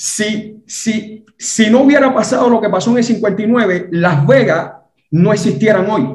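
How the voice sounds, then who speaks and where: Speaking very slowly with a Cuban accent, a man with a high voice is heard over audible room echo. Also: ordinary pitch variation. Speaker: Cuban exile guest. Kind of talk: interview.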